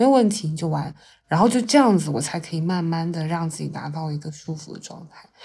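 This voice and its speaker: Talking at a very fast pace, a woman with a dark, mellow, somewhat breathy voice uses lively intonation and big swings in loudness. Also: fairly low pitch for a woman. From China, Yunxiao county, Fujian. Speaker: investing podcast host. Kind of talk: casual chat. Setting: at her home, after lunch nap. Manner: relaxed, lazy; frequent laughter.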